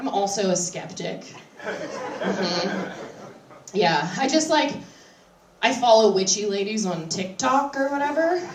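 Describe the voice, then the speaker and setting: A woman with an American accent speaks at a very slow pace and medium pitch. Her pitch swings very widely, and background noise is noticeable. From West Virginia, Appalachia. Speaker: stand-up comedian. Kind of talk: live stand-up comedy set. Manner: conversational, crowd-interactive, sardonic.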